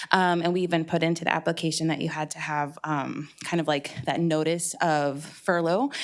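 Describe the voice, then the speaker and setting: A woman with a fairly low pitch speaks in fairly even intonation with hardly any pauses. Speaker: nonprofit director. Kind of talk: public comment at council meeting. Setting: council chamber, broadcast live. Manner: fast; hesitant with fillers.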